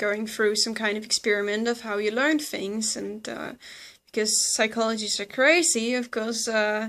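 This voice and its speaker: At a moderate pace, a woman with a Danish accent speaks with a fairly high voice and fairly even intonation. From Denmark. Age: 20s. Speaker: psychology student and video blogger. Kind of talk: educational explainer. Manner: hesitant, many fillers.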